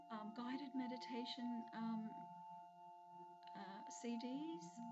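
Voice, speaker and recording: A woman's voice over loud background noise. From Australia. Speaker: hypnotherapist. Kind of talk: casual talk to camera. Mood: calm, warm, personal. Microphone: webcam.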